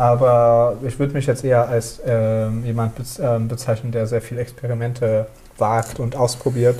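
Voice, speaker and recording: A medium-pitched man at a moderate pace amid noticeable background noise. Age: 30s. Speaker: architect. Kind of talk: casual chat. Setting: on location in a housing project, while cooking. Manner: halting.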